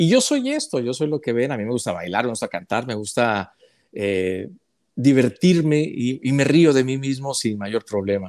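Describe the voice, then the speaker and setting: A man with lively intonation speaks at a moderate pace, the background quiet. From northern Mexico, Chihuahua. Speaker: journalist; journalist interviewee. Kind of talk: interview. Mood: warm, cheerful, laughing often. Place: home room. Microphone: earbuds.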